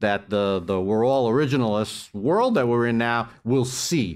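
This very clean recording has a silent background. A man speaks with a fairly low pitch and ordinary pitch variation. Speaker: law professor. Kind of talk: panel talk. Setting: stage with audience. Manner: loud.

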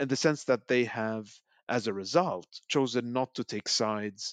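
A man's normal speaking voice with ordinary pitch variation against a quiet background. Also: dry, close sound with no echo. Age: 30s. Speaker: policy researcher. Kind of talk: panel discussion.

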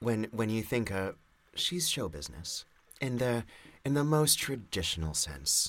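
A medium-pitched man at a fairly slow pace, with very wide pitch swings. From Montreal, Quebec. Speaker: podcast guest, avid reader. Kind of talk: casual chat. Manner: halting.

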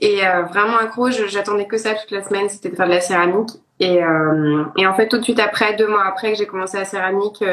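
A woman speaks. Her intonation is flat and monotone. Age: 20s. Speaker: ceramicist. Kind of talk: casual interview.

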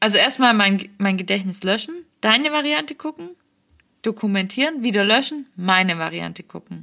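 A woman speaks at medium pitch and a moderate pace, her tone bright and sharp. Her intonation is lively, on a very clean recording with a silent background. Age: 20s. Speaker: podcast co-host. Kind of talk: casual chat.

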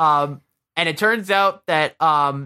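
A man with an American accent and a bright, sharp tone is captured in a very clean recording with a silent background and a dry, close sound with no echo. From Michigan. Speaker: podcast host, movie reviewer. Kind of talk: casual chat. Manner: halting, many fillers.

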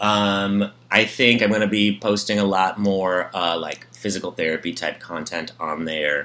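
This man talks at a fairly slow pace with hardly any pauses, his fairly low voice bright and sharp in tone, with ordinary pitch variation. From United States, born in Poland. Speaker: reality TV fan guest, physical therapy content creator. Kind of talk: casual chat.

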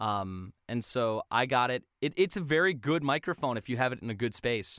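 A plain, everyday voice from a man at medium pitch, moderate pace and ordinary pitch variation, with a dry, close sound with no echo in a very clean recording with a silent background. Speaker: voice actor. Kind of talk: casual chat.

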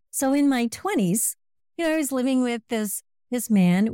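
A woman's dark, mellow tone with lively intonation, in a very clean recording with a silent background and a dry, close sound with no echo. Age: 60s. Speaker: transformational coach. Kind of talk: podcast interview.

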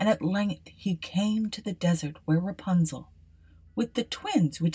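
This unforced reading voice shows typical shifts in pitch.

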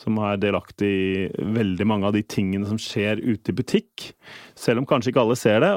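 A man with an ordinary speaking voice at medium pitch, against a quiet background. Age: 40s. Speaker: payments manager at a retail company. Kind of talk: interview. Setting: studio.

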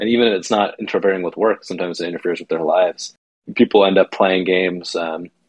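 In a dry, close sound with no echo, a man talks at a fairly quick pace. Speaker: board game commentator and guest. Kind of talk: casual chat. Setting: remote call, away from home.

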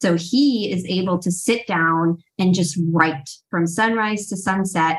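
With an American accent, a woman speaks at medium pitch and sounds somewhat breathy. Her pitch variation is ordinary. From US East Coast suburbs. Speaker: life coach and co-author. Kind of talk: casual interview chat.

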